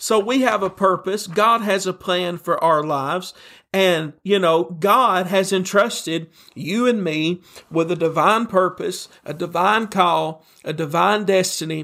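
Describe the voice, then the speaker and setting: A man with a Tennessee accent speaks in a raised, projected voice at a high pitch with ordinary pitch variation and a bright, sharp tone. The recording is very clean, with a silent background. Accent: Southern US (Tennessee). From Tennessee, US South. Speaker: pastor. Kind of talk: sermon.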